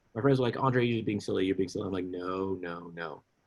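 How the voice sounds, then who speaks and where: A very fast-talking man with an American accent. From US East Coast, Washington DC. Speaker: musician. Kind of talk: interview. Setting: podcast. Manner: animated, halting.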